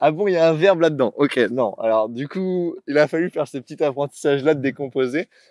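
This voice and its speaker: A man with a fairly high pitch talks at a fairly quick pace with lively intonation, in a plain, everyday voice. The sound is dry and close with no echo, over a quiet background. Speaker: bilingual teacher and content creator. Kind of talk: casual interview.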